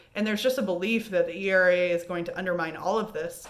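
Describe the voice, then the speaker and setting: There is noticeable background noise. A woman with a medium pitch speaks at a fairly quick pace. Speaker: high school history teacher. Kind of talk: recorded remote lesson review. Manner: casual, conversational.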